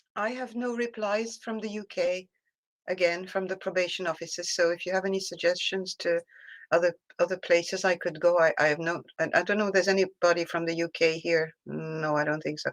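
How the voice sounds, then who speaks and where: A woman with a French accent speaks at a fairly quick pace in a fairly low voice. Her intonation is fairly even, and the recording is very clean with a silent background. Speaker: discussion group member. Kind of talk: casual chat. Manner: halting.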